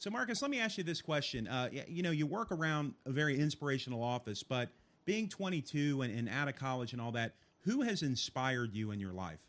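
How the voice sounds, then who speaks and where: A loud man talks at a fairly quick pace, his fairly high pitch making very wide swings. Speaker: live web show host. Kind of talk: casual chat. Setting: studio, live stream. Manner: loud, animated.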